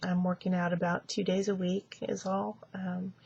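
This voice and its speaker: A soft-spoken, somewhat breathy woman. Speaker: vlogger. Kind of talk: casual video diary. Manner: halting, many fillers.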